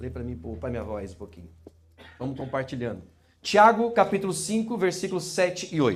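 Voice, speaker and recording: Amid audible room echo, a fairly high-pitched man with vocal fry talks fairly quickly, his pitch swinging very widely and his loudness shifting in big swings. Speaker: pastor. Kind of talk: sermon. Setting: church. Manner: fast.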